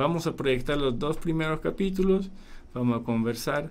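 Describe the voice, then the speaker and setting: A man speaks with a Polish accent. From Poland. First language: Polish (speaking Spanish). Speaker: documentary filmmaker. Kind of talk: radio interview. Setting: radio studio.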